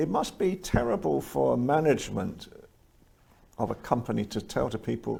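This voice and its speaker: A man is speaking. His pace is moderate and he has an English accent. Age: 60s. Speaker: show host. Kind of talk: interview.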